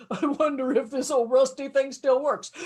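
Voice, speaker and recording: Using a put-on character voice, the speaker moves at a moderate pace with monotone, flat intonation. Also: woman, high pitch for a woman. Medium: read story.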